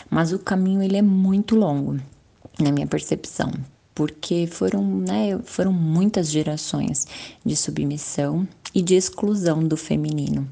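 A woman speaks at a fairly slow pace in a very deep, low voice with a dark, mellow tone. Her pitch swings very widely. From Brazil, Guarulhos (São Paulo). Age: 30s. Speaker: psychologist. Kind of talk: panel discussion.

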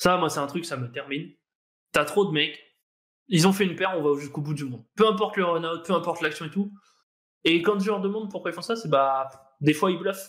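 With long, frequent pauses, a man speaks at a fairly quick pace in a high pitch, his pitch varying in an ordinary way. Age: 20s. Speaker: professional poker player. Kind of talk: casual interview.

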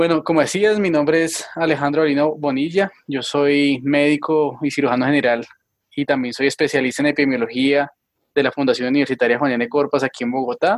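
A man with a plain, everyday voice, fairly high in pitch, with ordinary pitch variation and a fairly quick pace. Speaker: physician, epidemiologist. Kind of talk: interview. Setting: video call.

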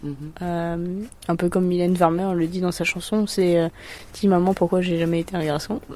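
A woman's dark, mellow voice at a fairly low pitch, with fairly even intonation and a moderate pace. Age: 20s. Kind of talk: casual chat.

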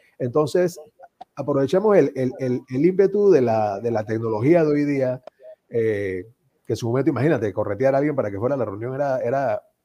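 A man with a dark, mellow tone moves at a fairly quick pace with lively intonation. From Panama. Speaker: association member, former national president. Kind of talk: casual chat. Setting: video call.

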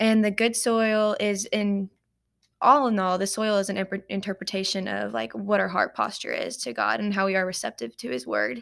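On a very clean recording with a silent background, a woman speaks at medium pitch and a moderate pace with lively intonation. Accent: American. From Paducah, Kentucky. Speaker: ministry intern and college student. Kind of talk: casual interview.

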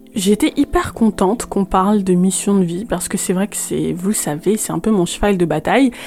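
A woman of medium pitch speaks at a moderate pace with ordinary pitch variation. Noticeable background noise is present. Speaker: podcast host. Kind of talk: interview. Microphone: poor sound quality, host hard to hear.

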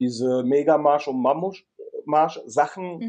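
A man's voice has a dark, mellow tone at a fairly high pitch. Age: 40s. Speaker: firefighter and survival trainer. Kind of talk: interview.

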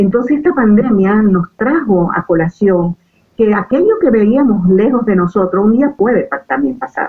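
This woman's voice sits fairly high and swings very widely in pitch. She talks at a fairly slow pace. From Venezuela. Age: 60s. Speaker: life coach, retired diplomat. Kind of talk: interview about personal growth.

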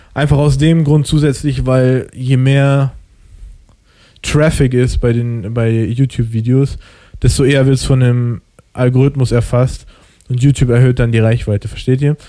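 His tone is dark and mellow, his pitch medium, his intonation fairly even. This man keeps a moderate pace with long, frequent pauses. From Germany. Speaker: podcast host. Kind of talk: casual chat.

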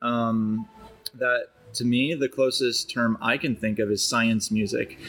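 The speaker has a Chicago accent. Music plays in the background. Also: man. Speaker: podcast host. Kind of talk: casual chat. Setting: coffee shop.

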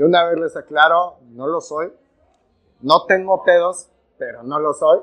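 In an animated tone, a man talks at a fairly slow pace with long, frequent pauses. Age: 20s. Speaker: podcast co-host, business student and actor. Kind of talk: casual chat.

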